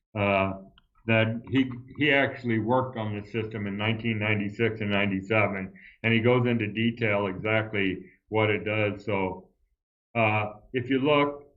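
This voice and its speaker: With audible room echo, a man talks at a moderate pace. His pitch is fairly low. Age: 70s. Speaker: retired airline pilot. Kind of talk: interview. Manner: animated.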